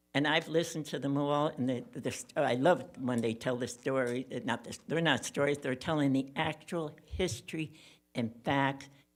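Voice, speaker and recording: In a very clean recording with a silent background, a woman with an American accent speaks at a moderate pace in a very deep, low pitch. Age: 80s+. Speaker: public commenter. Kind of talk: public comment. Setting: city commission meeting.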